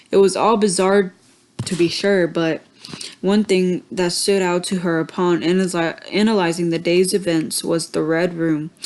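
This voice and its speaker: Over noticeable background noise, a woman with a medium pitch speaks at a moderate pace with fairly even intonation. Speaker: amateur story reader. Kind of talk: reading aloud. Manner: halting.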